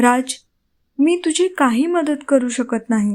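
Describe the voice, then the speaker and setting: A woman's soft-spoken, put-on character voice, high in pitch and very slow in pace. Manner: soft, gentle.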